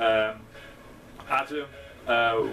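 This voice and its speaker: A man at a medium pitch talks in a British accent over noticeable background noise. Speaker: student election candidate. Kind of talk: casual video message. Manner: halting, many fillers.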